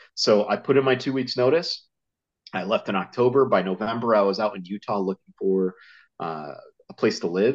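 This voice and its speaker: Against a quiet background, a man with a Northeastern US accent and fairly low pitch speaks at a moderate pace with ordinary pitch variation. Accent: American Northeast. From US Northeast, Connecticut. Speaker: survival instructor and author. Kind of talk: casual interview.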